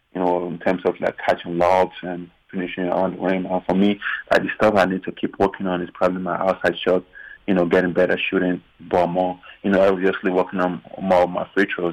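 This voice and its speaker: A man talks at a fairly quick pace in a very deep, low voice. His intonation stays monotone and flat. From Nigeria. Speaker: professional basketball player. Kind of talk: interview. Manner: hesitant, many fillers.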